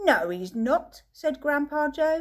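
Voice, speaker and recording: Here a woman puts on a character voice pitched high. Her pitch swings very widely up and down. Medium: read story.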